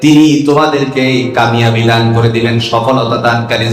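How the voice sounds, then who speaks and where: Noticeable background noise runs under a man whose intonation stays fairly even. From Kishoreganj, Bangladesh. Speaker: Islamic preacher. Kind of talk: religious sermon to a crowd. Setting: outdoor gathering.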